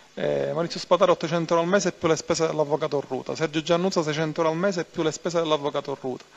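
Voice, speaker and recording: Fairly even intonation and a fairly high pitch from a man, in an unremarkable speaking voice. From Palermo, Sicily; Sicily. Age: 30s. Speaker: mafia turncoat witness; witness. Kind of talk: court testimony. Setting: courtroom. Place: hall.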